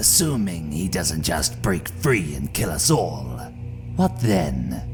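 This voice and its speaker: Someone performs a put-on character voice at a fairly slow pace. Loud background noise runs underneath. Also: man, very deep, low pitch for a man. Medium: read story. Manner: impatient, sardonic.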